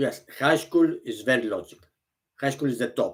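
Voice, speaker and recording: This man speaks with a Greek accent. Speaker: vlogger. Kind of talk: casual monologue. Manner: halting.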